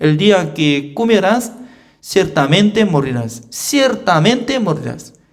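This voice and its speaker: With audible room echo, a high-pitched man speaks at a fairly slow pace using very wide pitch swings. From South Korea. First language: Korean (speaking Spanish). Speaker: pastor. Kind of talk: sermon. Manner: simple, non-native phrasing with repetition.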